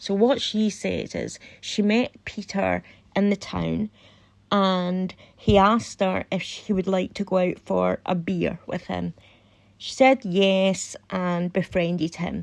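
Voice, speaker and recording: A woman speaks at a very slow pace with a Scottish accent. The recording is very clean, with a silent background. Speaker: true crime YouTuber. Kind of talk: casual commentary.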